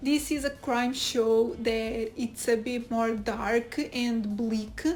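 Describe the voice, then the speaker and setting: A woman with a Portuguese accent speaks very slowly in a high voice with fairly even intonation. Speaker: YouTube TV reviewer. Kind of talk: casual video review.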